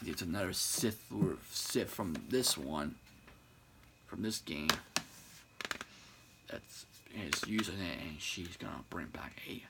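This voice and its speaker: A soft-spoken man talks at a very slow pace with a very deep, low pitch and ordinary pitch variation. His loudness swings widely, long pauses come often, and noticeable background noise is present. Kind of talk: ASMR-style casual talk to camera about video games. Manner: quiet, soft-spoken.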